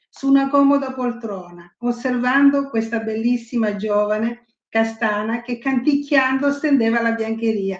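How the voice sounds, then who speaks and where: A woman speaks at a fairly slow pace. Her high pitch shows ordinary variation. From Sicily, Ragusa. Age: 70s. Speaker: writer. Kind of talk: casual chat. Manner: engaging rhythmic cadence when reading.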